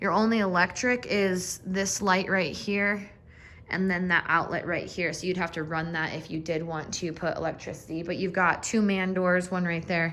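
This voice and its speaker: Audible room echo surrounds a woman speaking in a bright, sharp tone. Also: medium pitch for a woman, fairly even intonation, moderate pace. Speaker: real estate agent. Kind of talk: property walkthrough tour. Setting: walking through a house, partly outdoors.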